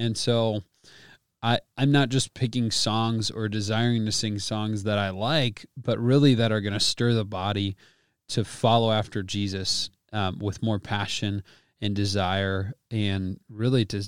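A man with an unremarkable speaking voice talks at a fairly slow pace and fairly low pitch, with fairly even intonation, on a very clean recording with a silent background. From US Midwest, Wisconsin. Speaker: worship leader. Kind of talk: casual interview.

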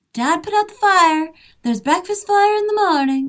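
A squeaky, put-on character voice moves along at a moderate pace. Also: female-sounding voice, extremely high pitch for a woman. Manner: calm, soothing.

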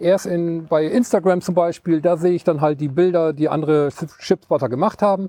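Dark and mellow in tone yet high in pitch, a man talks at a fairly quick pace. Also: ordinary pitch variation. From East Frisia, northern Germany. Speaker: hobby ship spotter and photographer. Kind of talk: casual interview. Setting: outdoors at a riverside pier.

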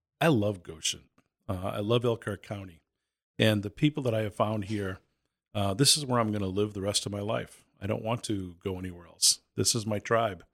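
Spoken at a moderate pace with ordinary pitch variation, this is a plain, everyday voice with an American accent on a very clean recording with a silent background. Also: man, fairly low pitch for a man. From Boston. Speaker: youth nonprofit executive. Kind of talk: interview.

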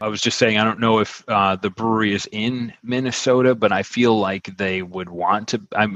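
Speaking at a moderate pace with hardly any pauses, a man with an American accent has a plain, everyday voice, fairly low in pitch with fairly even intonation. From Buffalo, New York. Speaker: podcast host and beer-app marketer. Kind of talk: casual chat.

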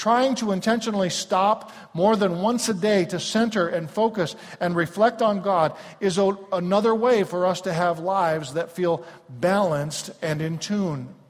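A high-pitched male voice with ordinary pitch variation at a moderate pace, against noticeable background noise. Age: 50s. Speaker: pastor. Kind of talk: sermon. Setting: church.

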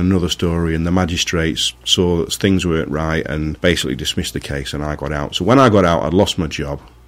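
Talking very fast, a man with a Manchester accent has a very deep, low voice. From Greater Manchester, England (Marple). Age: 40s. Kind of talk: testimony. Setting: radio studio.

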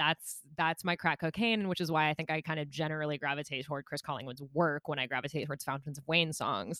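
A woman with a very deep, low pitch talks very fast with hardly any pauses and ordinary pitch variation, her tone bright and sharp. The recording is very clean and dry, close with no echo and a silent background. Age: 20s. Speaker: podcast co-host. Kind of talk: casual chat. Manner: animated.

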